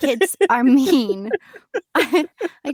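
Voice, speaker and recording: A squeaky voice with lively intonation, the sound dry and close with no echo. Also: woman. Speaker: podcast co-host. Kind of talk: casual chat. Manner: animated.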